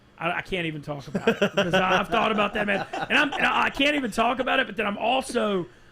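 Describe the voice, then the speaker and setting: Over noticeable background noise, a man with a Southern US accent speaks at a high pitch in a raised, projected voice, very fast and with hardly any pauses. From Louisiana (Monroe). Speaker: sports media personality. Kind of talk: casual chat.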